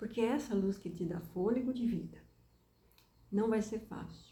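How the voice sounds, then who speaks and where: Woman's fairly high voice with a dark, mellow tone, vocal fry, ordinary pitch variation, and audible room echo. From southern Brazil, Rio Grande do Sul. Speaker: preacher. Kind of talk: sermon-style talk.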